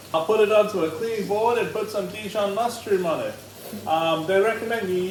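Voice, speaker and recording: A loud man with an Australian accent speaks at a fairly slow pace with ordinary pitch variation, with audible room echo and noticeable background noise. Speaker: home cooking show host. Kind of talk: cooking tutorial. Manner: hesitant, many ums.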